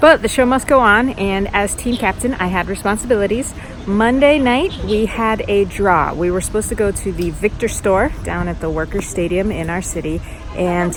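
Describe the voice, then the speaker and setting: Music in the background, with speech at a moderate pace. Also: woman. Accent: American. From United States. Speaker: badminton vlogger. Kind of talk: casual vlog talk to camera. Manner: animated.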